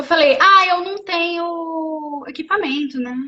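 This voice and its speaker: Raised and projected, a woman's extremely high voice sounds bright and sharp, with ordinary pitch variation. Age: 30s. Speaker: wheelchair triathlete and speaker. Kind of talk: casual live interview. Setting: live video stream. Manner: animated storytelling.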